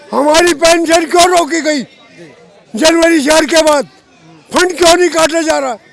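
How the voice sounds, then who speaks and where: An extremely high-pitched man speaks in an angry tone with fairly even intonation and long, frequent pauses. Crowd noise fills the background. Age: 80s+. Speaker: retired government employee, protester. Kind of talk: street interview. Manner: angry, forceful.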